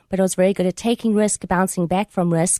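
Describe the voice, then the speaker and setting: Over a quiet background, a woman with a South African accent speaks at a medium pitch. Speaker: author. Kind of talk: radio interview. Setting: radio studio.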